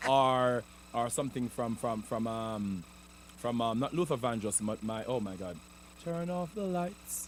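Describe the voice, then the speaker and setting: A man talks with a Jamaican accent. His pace is fairly slow. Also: medium pitch for a man, lively intonation. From Jamaica, rural Clarendon. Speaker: comedian and entertainer. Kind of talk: interview. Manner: halting, repeats words.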